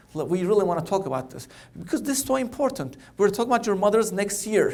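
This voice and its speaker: Speaking very fast with a Turkish accent, a man uses a high pitch and lively intonation. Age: 40s. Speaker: oncologist. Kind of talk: keynote speech.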